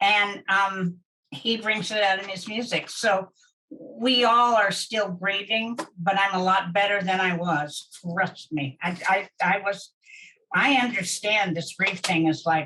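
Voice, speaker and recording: With an American accent, a woman talks at a fairly slow pace in a bright, sharp tone at a medium pitch. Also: ordinary pitch variation. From Kansas, US Midwest. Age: 70s. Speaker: addiction specialist and interventionist. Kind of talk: interview. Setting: podcast recording. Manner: halting, many fillers and repeats.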